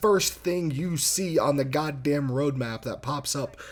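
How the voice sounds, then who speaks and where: This man's voice sits fairly high for a man, somewhat breathy, with an animated tone and ordinary pitch variation. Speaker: gaming YouTuber. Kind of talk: rant. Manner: halting.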